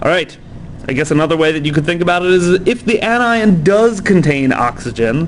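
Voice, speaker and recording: A man with a high voice speaks with lively intonation, with noticeable background noise and audible room echo. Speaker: chemistry teacher. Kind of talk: lecture. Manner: casual with many fillers.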